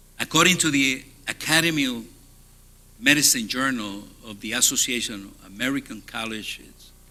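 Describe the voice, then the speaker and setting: A bright, sharp tone in a Spanish accent, moderate pace and ordinary pitch variation. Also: man, big swings in loudness. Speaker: hospital CEO. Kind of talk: conference keynote talk. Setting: stage with audience.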